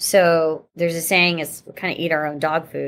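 A woman with an American accent and an unremarkable speaking voice talks at a moderate pace and fairly low pitch, in a very clean recording with a silent background. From Pittsburgh, western Pennsylvania. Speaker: vertical farming company founder. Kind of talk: interview.

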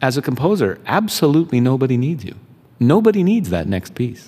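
Speaking fairly quickly in a Canadian accent, a man has a dark, mellow tone and very wide pitch swings. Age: 50s. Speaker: composer and composition teacher. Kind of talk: interview. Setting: venue lobby with small live audience.

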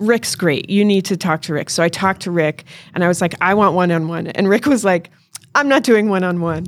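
In a plain, everyday voice, a woman talks at a fairly quick pace and medium pitch with ordinary pitch variation. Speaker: auto repair shop owner. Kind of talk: casual interview chat. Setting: live event with mic.

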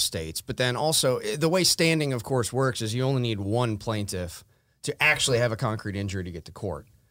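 This man has an American accent and lively intonation. His is an unremarkable speaking voice. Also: very clean recording, silent background. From Wisconsin, US Midwest. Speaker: lawyer. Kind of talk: legal discussion interview.

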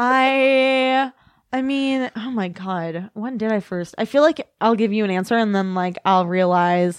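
A woman with an American accent, a plain, everyday voice, ordinary pitch variation and a fairly slow pace, recorded dry and close with no echo against a quiet background. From US Midwest, northern Illinois / Kenosha, Wisconsin. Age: 20s. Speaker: author and comedian. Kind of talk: casual chat. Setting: studio.

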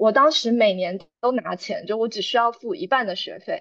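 Moderate pace with ordinary pitch variation. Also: woman. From Taiwan. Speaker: graduate student. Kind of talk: interview. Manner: clear enunciation.

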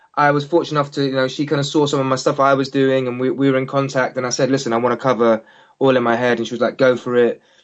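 A man with a London accent talks very fast at a medium pitch, his intonation flat and monotone. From England. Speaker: singer. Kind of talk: interview. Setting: phone call.

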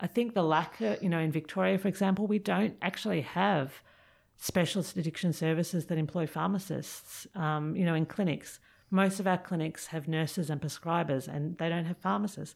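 This woman talks at a fairly quick pace in an Australian accent, with ordinary pitch variation. The recording is very clean, with a silent background. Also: fairly low pitch for a woman. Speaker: pharmacist and addiction researcher. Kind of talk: interview. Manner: fast.

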